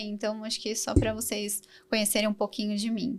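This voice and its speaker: A woman speaks at a moderate pace with a bright, sharp tone. The recording is very clean, with a silent background. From Brazil, São Paulo. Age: 30s. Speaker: design coordinator. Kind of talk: podcast interview.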